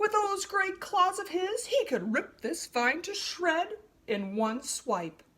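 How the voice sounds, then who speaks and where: A woman performs a put-on character voice, pitched extremely high, swinging very widely in pitch, and moving at a fairly slow pace. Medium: read story. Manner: haughty.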